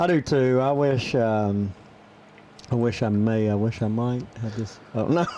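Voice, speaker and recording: A man speaks at a fairly slow pace, leaving long, frequent pauses. His medium pitch varies in an ordinary way over noticeable background noise. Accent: American. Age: 40s. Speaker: podcast co-host. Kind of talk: casual chat. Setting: studio.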